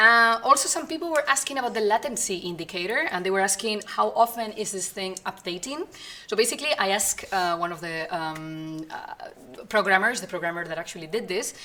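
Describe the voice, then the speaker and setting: A woman at medium pitch speaks with very wide pitch swings and big swings in loudness. Noticeable background noise runs underneath. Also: fairly quick pace. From Spain. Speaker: community manager for an online game. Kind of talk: live stream Q&A. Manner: fast; hesitant with fillers.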